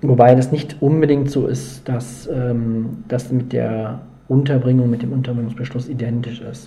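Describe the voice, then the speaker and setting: Noticeable background noise and audible room echo accompany a man talking at a fairly slow pace. He keeps a medium pitch with monotone, flat intonation. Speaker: psychologist. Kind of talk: interview.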